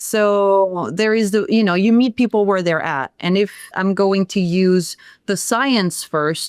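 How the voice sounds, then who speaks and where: A woman with a French accent at medium pitch and a fairly slow pace, ordinary pitch variation, in a very clean, dry, close recording with a silent background and no echo. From France. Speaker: sound healer. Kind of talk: podcast interview.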